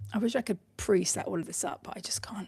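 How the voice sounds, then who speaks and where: A woman with a British accent speaks at a fairly high pitch with vocal fry. Her intonation is lively. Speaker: online business coach. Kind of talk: live tutorial. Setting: livestream with screen share. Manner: casual, chatty with fillers.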